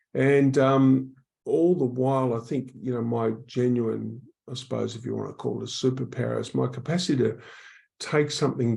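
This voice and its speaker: This man has an Australian accent. He talks at a moderate pace. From Australia, Queensland then Melbourne. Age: 60s. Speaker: public speaker on workplace wellbeing. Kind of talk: podcast interview.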